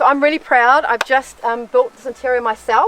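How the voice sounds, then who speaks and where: Against noticeable background noise, a woman with a New Zealand accent speaks in a high pitch with ordinary pitch variation. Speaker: solo overland traveller. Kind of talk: casual interview. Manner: halting, many fillers.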